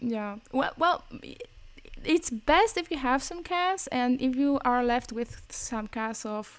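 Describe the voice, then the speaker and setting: Big swings in loudness and lively intonation mark this very slow delivery. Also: woman, high pitch for a woman. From Greece. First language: Greek. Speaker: podcast co-host. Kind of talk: casual chat.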